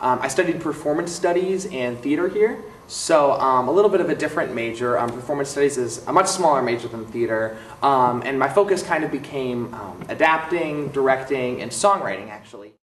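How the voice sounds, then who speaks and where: With an American accent, a man talks at a fairly quick pace with hardly any pauses, his fairly high voice full of lively intonation and big swings in loudness, over noticeable background noise. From US Midwest, Milwaukee, Wisconsin. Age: 20s. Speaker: theater director and songwriter, recent graduate. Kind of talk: interview monologue. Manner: hesitant, many fillers.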